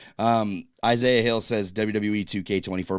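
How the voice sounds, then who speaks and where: A man speaks in a plain, everyday voice at a fairly low pitch and a moderate pace. His pitch variation is ordinary, and the recording is very clean with a silent background. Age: 30s. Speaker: wrestling podcast host. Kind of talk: casual chat.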